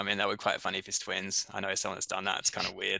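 A man's bright, sharp tone comes through over a quiet background. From Brisbane, Australia. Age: 30s. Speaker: runner. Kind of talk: casual chat.

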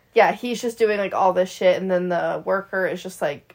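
Speaking at a moderate pace, a woman uses a normal speaking voice at a medium pitch with fairly even intonation. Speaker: podcast co-host. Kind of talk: casual chat about movies.

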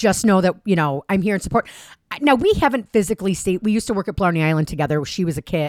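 In a very clean, dry and close recording with a silent background and no echo, a woman with a fairly low pitch talks at a very fast pace, animated in tone with lively intonation. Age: 40s. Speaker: podcast co-host. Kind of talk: casual chat.

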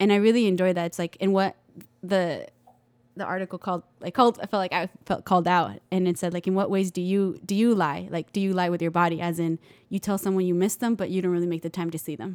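The speaker talks at a very fast pace with an American accent. The recording is very clean, with a silent background. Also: woman, medium pitch for a woman. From Texas, El Paso. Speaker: microbiology lab assistant. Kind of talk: casual chat.

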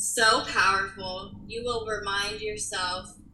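A woman's voice with audible room echo. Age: 30s. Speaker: interior designer and multiple sclerosis patient. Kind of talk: casual interview chat.

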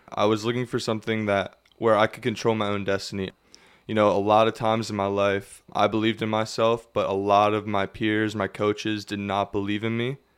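On a very clean recording with a silent background, a man with a Pennsylvania accent talks at a fairly quick pace in a fairly low, monotone voice with flat intonation. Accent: Pennsylvania American. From Pennsylvania, Lebanon. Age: 20s. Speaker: ultra runner and college student. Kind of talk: casual interview. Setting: studio.

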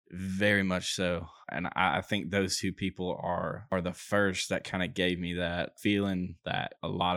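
An Alabama accent with fairly even intonation, in a very clean recording with a silent background and a dry, close sound with no echo. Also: man. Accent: Southern US (Alabama). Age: 20s. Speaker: podcast co-host, construction worker. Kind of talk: casual chat.

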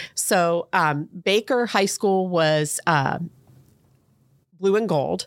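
A woman with an American accent talks at a very slow pace, leaving long, frequent pauses. Her loudness stays very even. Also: ordinary pitch variation. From Ohio (Fairborn). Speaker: school public relations director. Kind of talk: interview.

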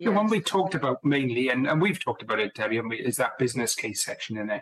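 With a Welsh accent, a man talks in a lively intonation. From Wales. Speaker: business analysis director and co-author. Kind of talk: casual interview chat.

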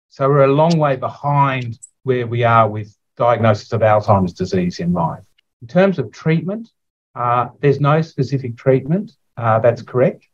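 A man with an Australian accent talks at a moderate pace, somewhat breathy and with lively intonation. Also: medium pitch for a man. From Australia, Sydney. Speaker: neuropathologist. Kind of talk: interview.

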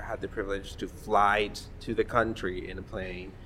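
A man speaks with a fairly low pitch and a bright, sharp tone. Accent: Spanish. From Mexico. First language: Spanish. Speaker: podcast host, LGBTQ organization worker. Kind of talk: casual chat, podcast conversation.

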